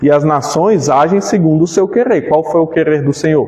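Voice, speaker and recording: Against noticeable background noise, a man with a fairly high pitch talks at a fairly slow pace. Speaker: pastor. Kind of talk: Bible study lecture.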